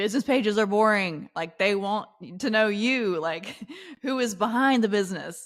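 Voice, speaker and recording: An animated tone with a slight Southern US accent, on a very clean recording with a silent background. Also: woman. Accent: slight Southern accent, shows in some words. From US South, Charlotte, North Carolina. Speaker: LinkedIn coach and entrepreneur. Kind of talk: podcast interview.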